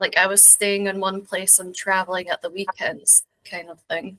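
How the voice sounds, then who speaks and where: A woman speaks with a Scottish accent and a bright, sharp tone. The sound is dry and close, with no echo. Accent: mild Scottish. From Scotland, rural Borders village near England. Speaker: interview guest. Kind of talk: casual interview chat.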